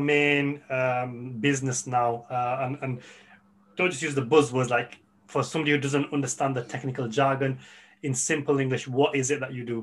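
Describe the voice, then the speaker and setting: At a moderate pace, a man talks in a normal speaking voice pitched fairly high. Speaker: podcast host. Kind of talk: podcast interview.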